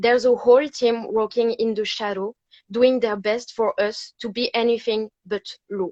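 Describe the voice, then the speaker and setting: The sound is dry and close with no echo as a woman speaks with fairly high pitch and fairly even intonation. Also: moderate pace. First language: not English. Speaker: fan. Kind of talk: reading aloud.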